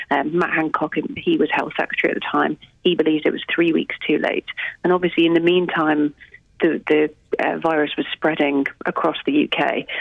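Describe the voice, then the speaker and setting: A woman with a normal speaking voice, a fairly low pitch and a fairly quick pace. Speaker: political reporter. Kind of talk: news reporting.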